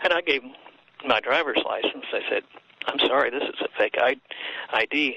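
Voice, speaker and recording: Noticeable background noise runs under a man speaking fairly quickly. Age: 60s. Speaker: author and healer. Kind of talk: interview. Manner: halting.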